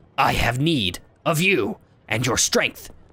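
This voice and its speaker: Growling in a put-on character voice, a man speaks fairly slowly at a fairly high pitch with very wide pitch swings. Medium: actual play. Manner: halting broken phrasing.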